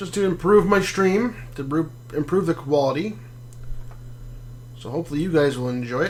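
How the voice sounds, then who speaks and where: A man mumbles at a fairly quick pace, his voice fairly high with lively intonation. Long pauses come often. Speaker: gaming streamer. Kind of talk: live gameplay commentary. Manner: mumbling; casual, halting.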